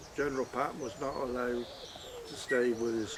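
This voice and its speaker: With a rural West Country accent, the speaker talks over noticeable background noise. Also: man. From Heddington, Wiltshire, England. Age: 80s+. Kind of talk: interview answer.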